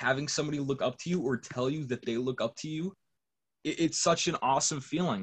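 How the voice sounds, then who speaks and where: This man's voice is somewhat breathy, with an American accent. His pace is fairly quick. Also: fairly high pitch for a man, ordinary pitch variation, dry, close sound with no echo. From Massachusetts, US. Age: young. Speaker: hip hop producer. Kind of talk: casual chat.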